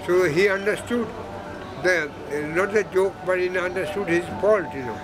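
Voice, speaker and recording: Over clear music in the background, a man talks at a moderate pace in a high pitch with ordinary pitch variation. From Kolkata, India. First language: Bengali. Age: 80s+. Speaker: sketch artist and art teacher. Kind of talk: interview answer. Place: hall. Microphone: phone near.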